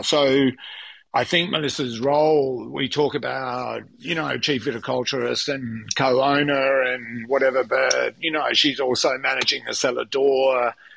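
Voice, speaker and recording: Speaking fairly slowly with an Australian accent, the man keeps his medium-pitched voice fairly even in intonation. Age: 50s. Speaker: winemaker. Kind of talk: interview. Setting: at home, remote interview. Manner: halting, many fillers.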